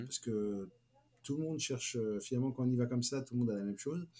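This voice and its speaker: A man speaks at a medium pitch with a dark, mellow tone. His pitch varies in an ordinary way. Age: 50s. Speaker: business executive. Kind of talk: interview. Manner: halting.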